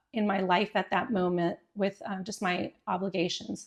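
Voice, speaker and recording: Over a quiet background, a woman with an ordinary speaking voice talks at medium pitch and a moderate pace. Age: 50s. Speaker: fitness class leader. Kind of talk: podcast interview answer.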